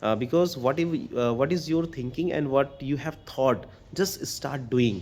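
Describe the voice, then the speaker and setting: A man speaks with an Indian accent in a fairly high pitch. His pace is moderate. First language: Hindi. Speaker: English learner vlogger. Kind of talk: casual talk to camera. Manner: hesitant, non-fluent, many fillers.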